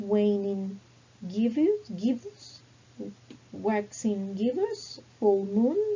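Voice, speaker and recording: A woman speaks very slowly with a non-native accent. Her pitch sits in the middle range and rises and falls in an ordinary way. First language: not English. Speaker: English teacher. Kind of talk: language lesson. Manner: slow, deliberate word list for repetition.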